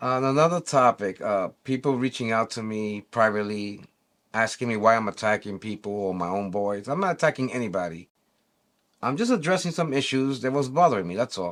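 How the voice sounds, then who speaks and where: At a fairly quick pace, a man with a New York accent speaks at a medium pitch with lively intonation in a very clean recording against a silent background. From New York City. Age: 60s. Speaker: e-bike community vlogger. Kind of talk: opinion monologue. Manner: animated.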